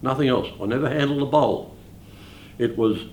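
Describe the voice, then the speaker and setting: There is audible room echo as a man with an Australian accent speaks with fairly even intonation. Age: 80s+. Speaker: bowls club life member. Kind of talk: interview.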